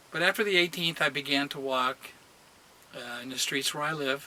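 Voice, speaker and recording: A man with a fairly high voice speaks in a fairly even tone over noticeable background noise. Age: 60s. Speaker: patient sharing surgery recovery. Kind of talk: personal vlog testimony. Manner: casual, halting with fillers.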